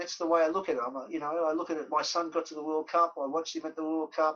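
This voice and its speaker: A man with an Australian accent, with a bright, sharp tone and fairly high pitch, at a very fast pace. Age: 60s. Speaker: former professional footballer. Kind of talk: podcast interview.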